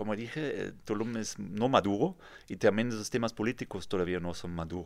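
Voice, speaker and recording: Over a silent background in a very clean recording, a man with a German accent speaks at a fairly low pitch with ordinary pitch variation. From Germany, near Frankfurt (Kassel). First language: German (speaking Spanish). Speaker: real estate developer. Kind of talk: interview. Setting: studio.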